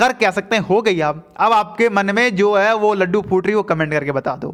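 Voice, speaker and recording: A man talks at a moderate pace, his pitch high and its variation ordinary. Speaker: teacher. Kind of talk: lecture.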